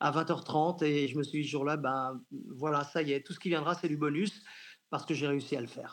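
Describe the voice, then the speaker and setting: This man has an unremarkable speaking voice, pitched fairly high, and talks at a fairly quick pace with fairly even intonation. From Brittany, France (near Rennes). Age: 60s. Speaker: sports journalist and football commentator. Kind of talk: radio interview.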